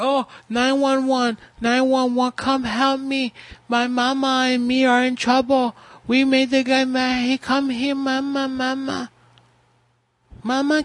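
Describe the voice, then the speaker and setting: A whiny, high-pitched put-on character voice, fairly slow, in a monotone, flat intonation, with long, frequent pauses. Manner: mocking, panicky, whiny.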